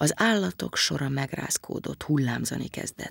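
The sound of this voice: The intonation is lively, and the reading voice sounds unforced.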